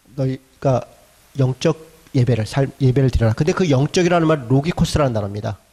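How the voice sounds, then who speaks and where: In a dry, close sound with no echo, a man speaks at a very fast pace and medium pitch, his dark, mellow tone somewhat breathy and his intonation lively. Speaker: pastor. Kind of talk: lecture. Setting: church. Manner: animated.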